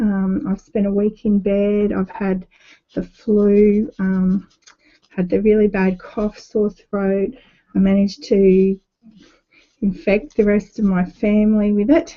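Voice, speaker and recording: A woman of medium pitch at a very slow pace, with fairly even intonation. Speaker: art journaling tutor. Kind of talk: tutorial.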